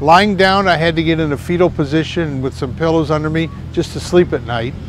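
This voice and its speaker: A man with a fairly high pitch talks at a fairly quick pace over noticeable background noise. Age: 70s. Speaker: patient giving a testimonial. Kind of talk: testimony. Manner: hesitant with fillers.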